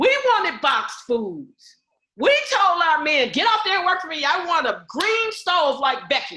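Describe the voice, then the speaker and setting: A woman speaks in a raised, projected voice at an extremely high pitch, animated in tone and at a moderate pace. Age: 70s. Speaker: community group leader. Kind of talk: group meeting talk.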